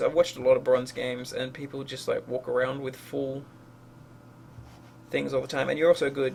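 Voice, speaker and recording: This is a man talking. His pace is very fast. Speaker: game coach reviewing a replay. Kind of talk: gameplay replay review commentary. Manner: mumbling; hesitant, many fillers.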